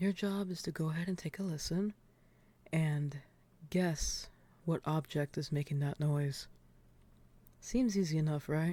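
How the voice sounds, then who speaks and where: A soft-spoken voice at a moderate pace on a very clean recording with a silent background. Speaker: ASMR creator. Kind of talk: ASMR soft-spoken guessing game, talking to the listener.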